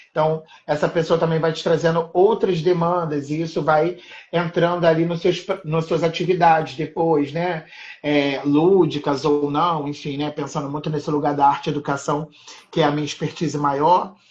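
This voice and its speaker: Through noticeable background noise, a man with a fairly high pitch talks at a moderate pace in a flat monotone. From Rio de Janeiro, Maré favelas. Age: 30s. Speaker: art educator. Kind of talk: casual interview chat.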